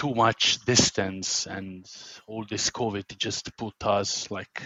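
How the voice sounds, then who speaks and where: This man speaks very slowly with an Italian accent. His pitch is fairly low, and his intonation is monotone and flat. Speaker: podcast host. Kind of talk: podcast interview.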